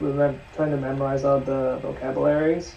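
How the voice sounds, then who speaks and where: Speech proceeds at a moderate pace while noticeable background noise is heard. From Hong Kong, moved to US. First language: Cantonese. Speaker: language learner video co-host. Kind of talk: casual chat.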